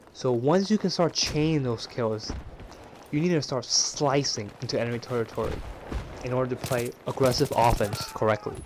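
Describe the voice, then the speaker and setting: The voice moves at a moderate pace with ordinary pitch variation, set against noticeable background noise. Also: man. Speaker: gamer. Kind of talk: gameplay tutorial voice-over. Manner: casual, conversational.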